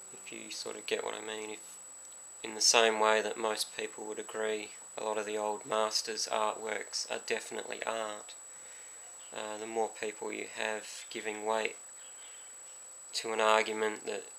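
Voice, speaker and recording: A man talks in a fairly low, flat monotone with long, frequent pauses. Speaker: artist. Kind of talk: unscripted opinion talk to camera. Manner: slow, monotone.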